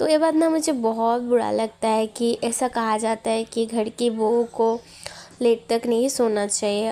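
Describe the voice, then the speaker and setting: With a Bengali accent, a woman speaks at a fairly high pitch, her intonation fairly even and her loudness very even. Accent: Bengali-accented Hindi. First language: Bengali (speaking Hindi). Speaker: vlogger, housewife. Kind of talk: casual vlog talk. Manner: chatty, informal.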